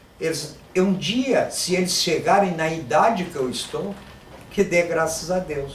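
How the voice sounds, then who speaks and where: Amid noticeable background noise and audible room echo, a man speaks at a fairly slow pace and high pitch with ordinary pitch variation. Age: 60s. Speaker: Yoruba language teacher and Afro-Brazilian religion practitioner. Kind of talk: monologue to camera. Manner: informal, conversational.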